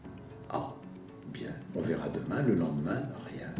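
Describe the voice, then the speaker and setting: A man talks at a fairly slow pace, with audible room echo around his voice. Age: 70s. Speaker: healer, former chocolatier. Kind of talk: personal testimony. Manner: hesitant, with fillers.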